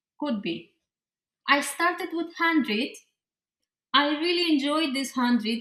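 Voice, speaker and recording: At a fairly slow pace with long, frequent pauses, a woman with a non-native accent projects a raised, high-pitched voice with a bright, sharp tone and lively intonation. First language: not English. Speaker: pixel artist and graphic designer. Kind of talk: interview. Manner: halting, with many fillers and restarts.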